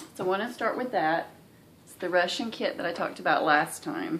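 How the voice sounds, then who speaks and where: A woman with a strong Southern US accent and lively intonation. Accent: thick Southern US accent, thicker than usual. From US South. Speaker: cross stitch vlogger. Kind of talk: casual video vlog.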